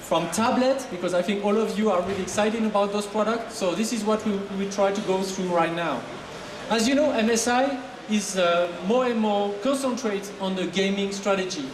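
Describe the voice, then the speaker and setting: Background noise is noticeable, along with audible room echo. A man with a French accent speaks at a high pitch with ordinary pitch variation. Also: moderate pace. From France. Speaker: marketing manager. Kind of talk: product presentation. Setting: stage with audience. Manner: animated.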